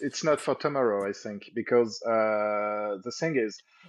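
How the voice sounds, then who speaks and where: A French accent with ordinary pitch variation. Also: man. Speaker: local journalist. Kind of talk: live stream interview. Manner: halting, repeats words.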